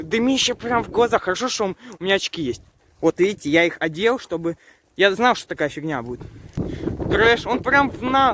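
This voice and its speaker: A high-pitched man speaks at a moderate pace with very wide pitch swings. He leaves long, frequent pauses, and the sound is dry and close with no echo. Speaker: YouTube vlogger. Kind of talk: casual vlog commentary.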